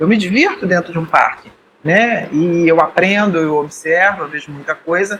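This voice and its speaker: The voice belongs to a man. Noise is noticeable behind him. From Rio de Janeiro, Brazil. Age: 60s. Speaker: podcast co-host, mountaineer. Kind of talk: casual chat.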